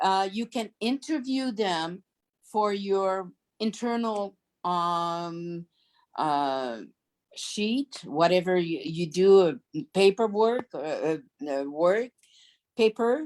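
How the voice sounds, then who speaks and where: Speaking at a very slow pace with long, frequent pauses, a woman of medium pitch uses lively intonation. The sound is dry and close with no echo. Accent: French. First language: French. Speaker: business founder. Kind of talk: Q&A answer on video call. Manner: halting.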